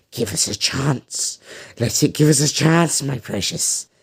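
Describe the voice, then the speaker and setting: In a put-on character voice, a man whispers at a fairly slow pace, raspy and hissing. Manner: whispering, spluttering, hissing.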